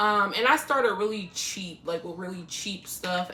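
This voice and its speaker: A woman at a fairly slow pace and medium pitch, with noticeable background noise. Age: 30s. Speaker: makeup artist. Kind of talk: casual chat.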